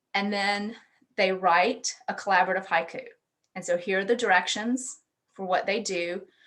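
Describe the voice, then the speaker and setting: With fairly even intonation and a moderate pace, a woman of medium pitch talks in an unremarkable speaking voice. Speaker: university education researcher presenting at a conference. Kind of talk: conference presentation over video call.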